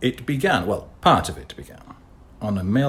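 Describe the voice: The pitch variation is ordinary in this plain reading aloud.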